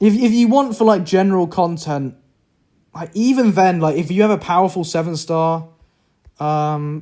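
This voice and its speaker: The speaker is a man with a British accent and a high voice with a dark, mellow tone. He talks at a moderate pace with ordinary pitch variation. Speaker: gaming streamer. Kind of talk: casual live stream commentary.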